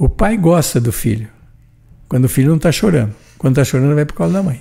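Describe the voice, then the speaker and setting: A man talks very fast at a fairly high pitch, his voice swinging very widely in pitch. His tone is dark and mellow, somewhat breathy. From São Paulo state, Brazil. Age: 80s+. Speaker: retired shop owner. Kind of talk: podcast interview. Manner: animated.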